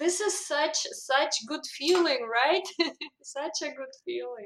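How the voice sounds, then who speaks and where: With a Russian accent, a woman with high pitch speaks at a very slow pace and lively intonation amid audible room echo. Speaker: language coach. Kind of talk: interview.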